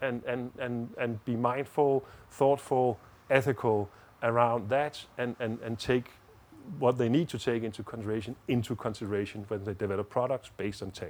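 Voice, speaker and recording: At a moderate pace, a man with a Danish accent speaks at a medium pitch with fairly even intonation. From Denmark. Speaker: diplomat and lawyer. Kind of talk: interview. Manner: halting, many repeated words.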